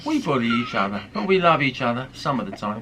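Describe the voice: A man talks at a very fast pace with lively intonation and a medium pitch. Noticeable background noise sits behind him.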